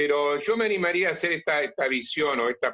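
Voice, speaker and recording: This man's voice sits at a fairly high pitch and moves at a moderate pace. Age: 60s. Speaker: priest and catechist. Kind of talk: conversational interview.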